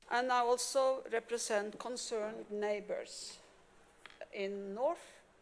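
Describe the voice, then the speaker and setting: Speaking very slowly with a non-native accent, a woman uses a fairly high pitch. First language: not English. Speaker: public commenter. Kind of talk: reading aloud. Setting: county commissioners court meeting.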